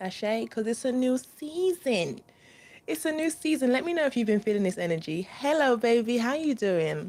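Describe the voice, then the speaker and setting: This speaker has a London accent and a dark, mellow tone, talking at a moderate pace with very wide pitch swings. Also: woman. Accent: London English, multicultural London. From East London, England. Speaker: spiritual reader, channel host. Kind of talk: live stream spiritual talk with viewers. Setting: live stream. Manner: casual, animated.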